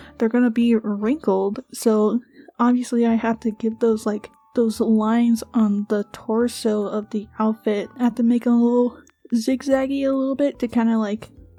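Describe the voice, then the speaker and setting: Keeping a monotone, flat intonation, a woman talks at a moderate pace and a fairly high pitch. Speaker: animation artist and video creator. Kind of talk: voiceover commentary on art process. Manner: casual, filler-heavy.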